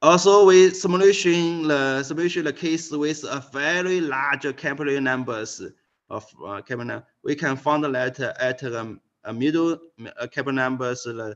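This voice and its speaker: A man with a Chinese accent speaks at a moderate pace. His pitch is fairly high, with ordinary variation. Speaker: physics professor. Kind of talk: lecture. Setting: video call. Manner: halting.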